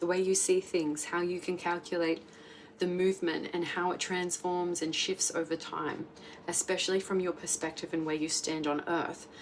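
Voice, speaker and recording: Speaking at a moderate pace with flat, monotone intonation, a woman with a fairly low pitch comes through over noticeable background noise. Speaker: tarot reader. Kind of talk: tarot reading monologue. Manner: casual, filler-heavy.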